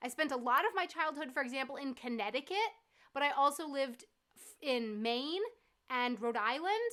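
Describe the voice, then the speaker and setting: A woman's raised, projected voice with an American accent, high-pitched, bright and sharp, with lively intonation, big swings in loudness and a moderate pace. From US East Coast (New England and South Florida). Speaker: YouTuber. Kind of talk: casual chat. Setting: livestream from living room.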